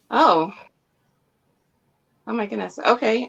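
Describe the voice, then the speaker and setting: A woman's pitch swings very widely as she speaks at a moderate pace. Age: 30s. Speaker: comic reader and community member. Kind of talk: casual interview chat. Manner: hesitant, many fillers.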